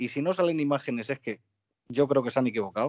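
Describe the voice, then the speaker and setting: This man talks at a very fast pace with ordinary pitch variation. His pitch sits in the medium range. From Getafe, Madrid, Spain. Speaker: football podcast co-host. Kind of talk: casual chat. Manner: animated.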